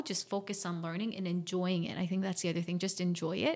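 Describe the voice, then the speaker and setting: On a very clean recording with a silent background, a woman with an American accent talks in an unremarkable speaking voice at medium pitch and a moderate pace. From US (born DC, Virginia) and South Korea. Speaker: entrepreneur and creativity educator. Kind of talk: interview.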